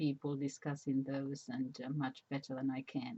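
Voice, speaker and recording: Speaking at a fairly slow pace, a woman with a Spanish accent has a very deep, low pitch and a dark, mellow tone. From Spain. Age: 70s. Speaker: retired teacher. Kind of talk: casual personal monologue. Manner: halting, many fillers.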